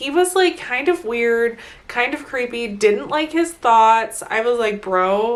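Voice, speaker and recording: Over noticeable background noise, a woman speaks at a fairly slow pace in an animated tone, high in pitch with very wide pitch swings. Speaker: book vlogger. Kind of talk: casual monthly book review vlog.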